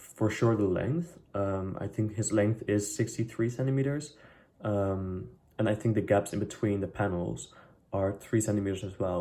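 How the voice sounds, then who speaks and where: A man with a non-native accent, fairly low in pitch, dark and mellow in tone, at a moderate pace with ordinary pitch variation. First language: not English. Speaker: DIY sewing vlogger. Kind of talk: tutorial vlog. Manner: casual, hesitant with many fillers.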